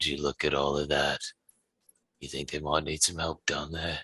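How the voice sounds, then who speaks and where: A man's put-on character voice, raspy and guttural, very deep and low, monotone and flat at a moderate pace, with a dry, close sound and no echo. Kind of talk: gruff, low tone.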